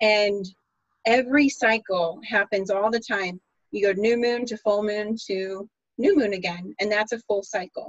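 Her pitch is fairly high for a woman. The woman's pitch variation is ordinary. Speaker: podcast host. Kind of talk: casual chat with astrology talk.

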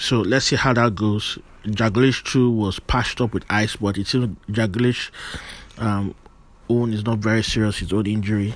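Flat, unvarying intonation in a somewhat deep male voice. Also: moderate pace. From Nigeria. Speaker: football podcaster. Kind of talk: solo podcast commentary.

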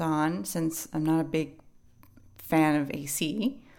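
A woman speaks with a fairly low pitch. Her pace is very slow. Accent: New York. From New York City. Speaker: English teacher podcast host. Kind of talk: educational podcast monologue.

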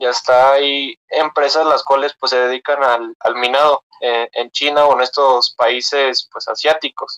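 Though he talks at a fairly slow pace, a man with a fairly high pitch and a bright, sharp tone leaves hardly any pauses, his intonation monotone and flat. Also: dry, close sound with no echo. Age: 20s. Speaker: engineering student and crypto investor. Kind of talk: casual interview. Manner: halting.

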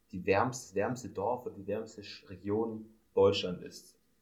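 A somewhat breathy quality marks this man's voice. It sits fairly low in pitch. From Swabia, Germany. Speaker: podcast co-host, student. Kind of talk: casual chat.

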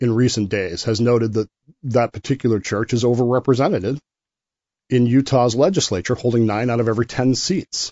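A man with a normal speaking voice talks fairly quickly at a medium pitch, his pitch varying in an ordinary way. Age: 50s. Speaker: podcast host. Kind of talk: solo monologue commentary.

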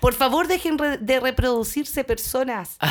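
A woman with a Chilean accent, fairly slow, with lively intonation. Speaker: podcast co-host. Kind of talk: casual chat.

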